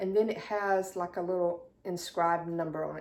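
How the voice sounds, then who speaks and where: A woman speaks with a Southern US accent. Her pitch is medium. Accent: southern drawl. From South Carolina. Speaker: YouTuber showing thrift finds. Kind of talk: casual haul video. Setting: at home, dining room.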